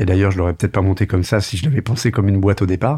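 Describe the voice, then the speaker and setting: Using an ordinary speaking voice, a man talks at a fairly low pitch with ordinary pitch variation. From France, Tours. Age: 40s. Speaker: media entrepreneur. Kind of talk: interview.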